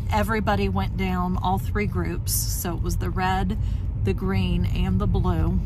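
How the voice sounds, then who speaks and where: A woman talks at a fairly slow pace with a dry sound with no echo and noticeable background noise. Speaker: background extra and travel vlogger. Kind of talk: casual vlog commentary. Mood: tired but friendly. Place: car. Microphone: phone near.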